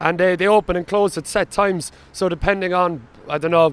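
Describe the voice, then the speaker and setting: Speaking with a strong Cork accent, a man keeps a fairly quick pace and a high pitch, his intonation fairly even. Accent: thick Cork. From Ireland, Cork. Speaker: travel vlogger. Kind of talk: casual vlog narration.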